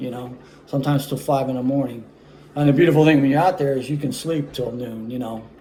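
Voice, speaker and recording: A man's medium-pitched voice with fairly even intonation, plus audible room echo and noticeable background noise. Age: 60s. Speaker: saxophonist auditioning. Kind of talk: audition self-presentation. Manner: halting, many fillers.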